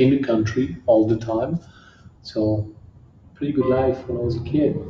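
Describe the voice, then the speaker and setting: A man speaks at a moderate pace and medium pitch in a strong French accent. His voice is somewhat breathy, with fairly even intonation. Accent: heavy French. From southern France, near Marseille. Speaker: kickboxing champion. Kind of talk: interview. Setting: gym.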